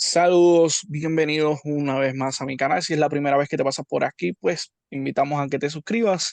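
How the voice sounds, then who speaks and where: A fairly high-pitched man with a Puerto Rican accent and ordinary pitch variation, in a dry, close sound with no echo. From Puerto Rico. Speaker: YouTube interviewer. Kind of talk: interview.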